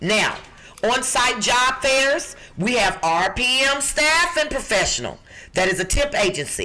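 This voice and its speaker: A woman's high-pitched, animated voice with lively intonation over noticeable background noise. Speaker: job recruiter, podcast co-host. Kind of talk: podcast job listings segment.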